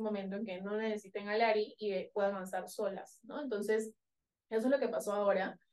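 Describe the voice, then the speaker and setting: Fairly high-pitched and monotone, a woman talks at a fairly quick pace with flat intonation. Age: 30s. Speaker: startup founder. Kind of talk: interview.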